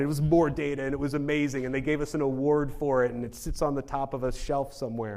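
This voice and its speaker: A man talks at a very fast pace with hardly any pauses, his pitch fairly high and his tone dark and mellow. Room echo is audible. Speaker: genomics researcher. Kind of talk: conference talk. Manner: casual.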